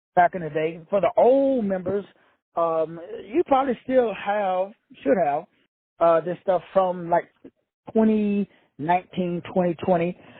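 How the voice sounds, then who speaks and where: A man's high-pitched voice with lively intonation at a fairly slow pace. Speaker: spiritual teacher and self-help author. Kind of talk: livestream teaching talk. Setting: hotel room. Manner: quiet, using inside voice.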